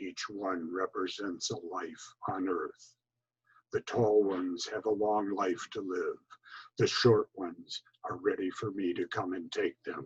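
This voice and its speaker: A man's put-on character voice at a fairly slow pace, dry and close with no echo. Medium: read story. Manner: terse, grave.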